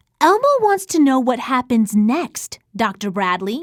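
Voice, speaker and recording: Putting on a character voice, a woman speaks at a high pitch and a moderate pace. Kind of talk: bedtime story. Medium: read story. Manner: talks about himself in third person.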